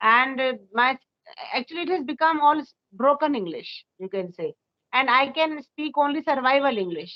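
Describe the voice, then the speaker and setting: In an Indian accent, a woman with a high voice talks at a moderate pace, her intonation lively. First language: Hindi. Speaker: school teacher. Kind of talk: casual chat. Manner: halting.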